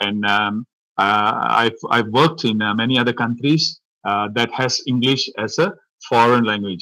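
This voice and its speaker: This man has a Tamil accent and a bright, sharp tone at a medium pitch, with ordinary pitch variation. He talks at a moderate pace on a very clean recording with a silent background. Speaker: professor. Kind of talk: lecture. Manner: halting, many fillers.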